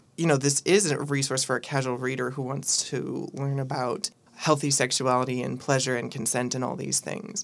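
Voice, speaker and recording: The speech moves at a moderate pace with hardly any pauses, set against noticeable background noise. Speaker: book co-editor, software product owner. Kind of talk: radio interview.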